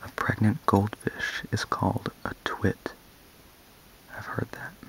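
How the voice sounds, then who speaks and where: A man whispers at a very slow pace. Noticeable background noise is present. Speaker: ASMR video creator. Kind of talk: ASMR soft-spoken random facts reading. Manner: soft-spoken, whispery.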